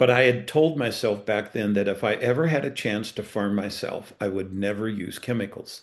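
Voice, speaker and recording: In a normal speaking voice, a man talks at a moderate pace and fairly low pitch, with ordinary pitch variation and hardly any pauses. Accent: American. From eastern Colorado. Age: 60s. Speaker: farmer. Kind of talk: webinar panel talk.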